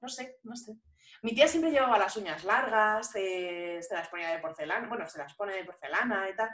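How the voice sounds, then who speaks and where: In an ordinary speaking voice, a woman talks at a moderate pace and medium pitch, with lively intonation and big swings in loudness. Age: 30s. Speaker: podcast host and language teacher. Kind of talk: casual chat.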